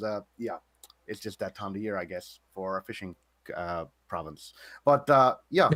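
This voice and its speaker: Using a fairly low pitch with ordinary pitch variation, a man speaks with big swings in loudness and long, frequent pauses, in a dry, close sound with no echo. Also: moderate pace. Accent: Newfoundland. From Newfoundland, Canada.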